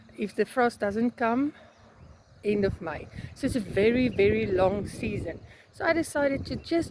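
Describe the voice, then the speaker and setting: A woman's fairly high, lively voice over noticeable background noise. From South Africa. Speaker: flower farmer. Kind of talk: casual vlog tour. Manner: hesitant, many fillers.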